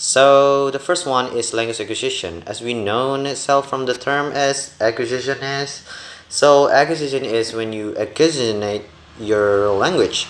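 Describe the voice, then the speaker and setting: Speaking with an Indonesian accent, a man uses a medium pitch, ordinary pitch variation and a moderate pace. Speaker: university student. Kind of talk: class presentation video. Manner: halting, many fillers.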